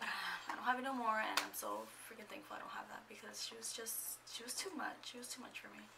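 Whispering at a very fast pace with hardly any pauses, a woman's voice swings widely in loudness. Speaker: lifestyle vlogger; vlogger. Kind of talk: casual vlog monologue. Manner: chatty, rambling with fillers. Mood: chatty, exasperated at times. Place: home room. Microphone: phone near.

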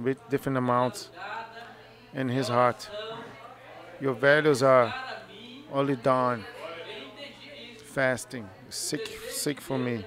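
A man speaks at a very slow pace with long, frequent pauses and ordinary pitch variation. The sound is dry with no echo, though noticeable background noise comes through. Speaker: preacher. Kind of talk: sermon. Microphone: headset.

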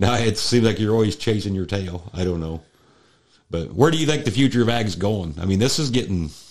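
This man has an unremarkable speaking voice, fairly low in pitch, with lively intonation. He talks at a fairly quick pace. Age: 40s. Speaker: farmer and podcast host. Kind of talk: casual chat.

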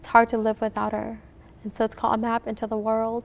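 A woman's fairly high, fairly quick voice with an American accent and monotone, flat intonation. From Minnesota, US (Hmong refugee family). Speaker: author. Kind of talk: interview. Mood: warm, reflective. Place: studio.

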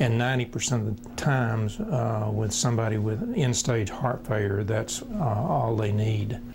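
Over noticeable background noise, a man talks with fairly even intonation and hardly any pauses. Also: medium pitch for a man, moderate pace. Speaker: transplant surgeon. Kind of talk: interview answer.

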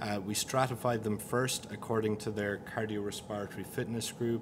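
A man's fairly low, flat, monotone voice amid noticeable background noise. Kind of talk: interview answer presenting study results. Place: meeting room. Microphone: podium.

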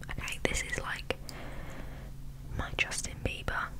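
A woman whispers, soft-spoken. Noticeable background noise sits behind her. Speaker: ASMR-style vlogger. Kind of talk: casual vlog chat. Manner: soft ASMR whisper close to mic. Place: home room. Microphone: studio mic.

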